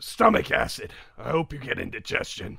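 In a put-on character voice, a man talks at a moderate pace, his fairly high pitch rumbling and raspy. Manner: grumbling. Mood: sour, muttering curse.

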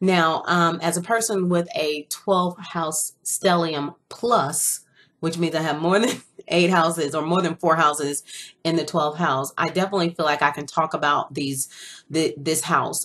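A woman speaks in a normal speaking voice at a moderate pace. Her pitch is fairly low and her intonation fairly even. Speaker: astrology channel host. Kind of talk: casual talk to viewers about astrology. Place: home room.

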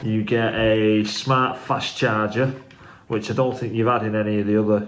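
A man speaks at a fairly slow pace in a monotone, flat intonation. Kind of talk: casual unboxing vlog chat. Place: kitchen. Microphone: phone near.

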